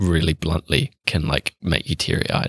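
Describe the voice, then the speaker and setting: Speaking with a New Zealand accent, a man with a very deep, low pitch and a bright, sharp tone talks at a moderate pace in a dry, close sound with no echo. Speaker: podcast host. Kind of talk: casual interview. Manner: mumbling, drops syllables.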